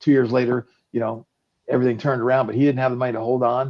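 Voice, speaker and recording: A medium-pitched man's voice in a monotone, flat intonation. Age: 60s. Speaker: startup founder and investor. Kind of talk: promotional interview.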